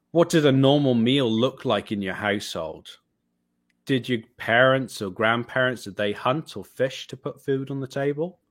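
In a Welsh accent, a man speaks at a medium pitch and moderate pace with ordinary pitch variation and big swings in loudness, on a very clean recording with a silent background. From Wales. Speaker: vegan photographer and filmmaker. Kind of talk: interview talk with prepared reflections.

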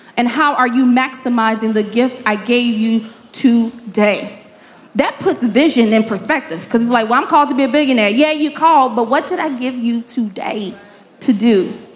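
In an American accent, a woman speaks at a moderate pace with a high pitch and ordinary pitch variation. Room echo is audible, and there is noticeable background noise. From Chicago, South Side. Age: 30s. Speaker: nonprofit founder and business mentor. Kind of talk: live interview before audience. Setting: stage with live audience.

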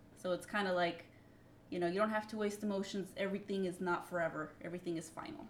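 With noticeable background noise behind her, a woman talks very fast at a medium pitch with ordinary pitch variation. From Mexican-American family. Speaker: podcast co-host. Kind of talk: casual chat.

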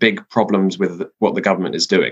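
Here is a man with a London accent. His pitch is fairly low. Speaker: political writer. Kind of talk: casual interview. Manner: hesitant with many fillers.

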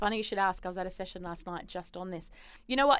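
A woman is speaking here. She has an Australian accent. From Australia, Perth. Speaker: performance consultant and psychologist. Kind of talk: interview.

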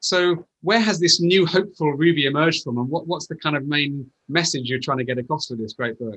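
A man's unremarkable speaking voice, fairly high in pitch, at a fairly quick pace with hardly any pauses and ordinary pitch variation. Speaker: interviewer. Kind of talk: interview, conversational.

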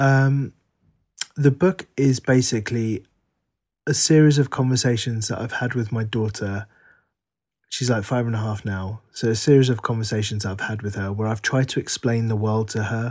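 A man in a London accent, medium-pitched, with ordinary pitch variation and a moderate pace, on a very clean recording with a silent background. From England, Harrow, northwest London. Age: 40s. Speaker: writer. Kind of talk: interview conversation.

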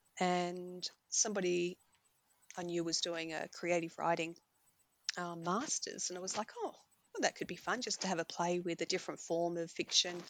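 A woman speaks in an Australian accent with a fairly low pitch. Her intonation is monotone and flat. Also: moderate pace. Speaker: romance novelist. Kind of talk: casual interview. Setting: remote call.

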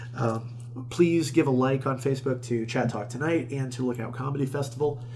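Using an ordinary speaking voice, a man with an American accent talks at a medium pitch with fairly even intonation. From Florida, Tampa area. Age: 30s. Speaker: stand-up comedian and festival organizer. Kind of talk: casual interview chat.

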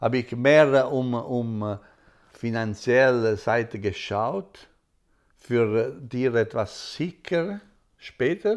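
The recording is very clean, and the background is silent. A man's voice sits at a medium pitch. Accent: Italian. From Italy, Apulia. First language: Italian (speaking German). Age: 60s. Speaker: restaurateur, father of interviewer. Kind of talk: casual interview. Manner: halting, frequent hesitations.

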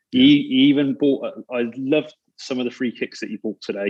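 Speaking in a plain, everyday voice, a man keeps a fairly quick pace and a medium pitch with fairly even intonation. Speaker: football fan. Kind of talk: casual chat.

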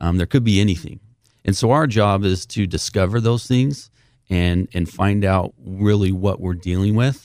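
A man with an unremarkable speaking voice and a fairly low pitch speaks on a very clean recording with a silent background. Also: ordinary pitch variation, moderate pace. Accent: American. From Southern Utah, St. George. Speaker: title company president. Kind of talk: radio interview.

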